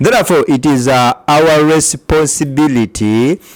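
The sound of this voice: Speaking fairly slowly, a man uses a fairly high pitch with ordinary pitch variation.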